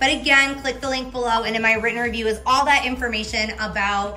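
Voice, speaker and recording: A woman speaks with fairly even intonation. Faint music plays in the background. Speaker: pet product reviewer. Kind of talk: product review talk. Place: home room. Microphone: camera far.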